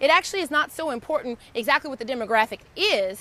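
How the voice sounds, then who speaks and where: A woman talks in a raised, projected voice at a high pitch. The tone is bright and sharp. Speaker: lawyer and law firm coach. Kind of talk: tutorial. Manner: animated.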